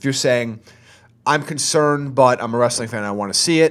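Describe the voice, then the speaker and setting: A man talks in an ordinary speaking voice. His pace is fairly quick, with ordinary pitch variation. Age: 20s. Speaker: wrestling podcast co-host. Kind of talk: casual chat. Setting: studio.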